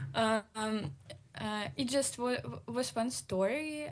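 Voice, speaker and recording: A woman speaks at a very slow pace with a Russian accent. Her voice is somewhat breathy. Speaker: exiled journalist. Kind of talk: panel discussion. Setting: video call. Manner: halting.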